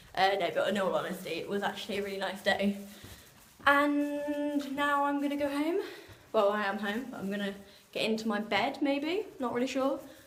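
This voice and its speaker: A woman speaks at a moderate pace in a high voice. Her pitch swings very widely amid audible room echo. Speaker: vlogger. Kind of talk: casual vlog talk. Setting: outdoors.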